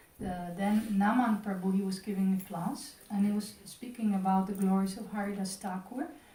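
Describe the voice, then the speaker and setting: At a moderate pace, a woman speaks at medium pitch with fairly even intonation, amid audible room echo and noticeable background noise. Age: 60s. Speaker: temple class speaker. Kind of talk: religious class.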